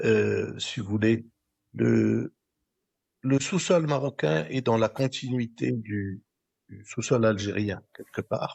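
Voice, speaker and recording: A man talks at a very slow pace. His voice sits at a medium pitch with ordinary pitch variation. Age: 70s. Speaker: physicist and energy expert. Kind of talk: podcast interview. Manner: halting, repeats words.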